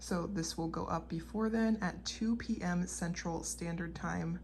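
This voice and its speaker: A woman whispers at a fairly slow pace, with audible echo from the room. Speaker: clothing reseller, channel owner. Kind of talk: product showcase video. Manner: whispering.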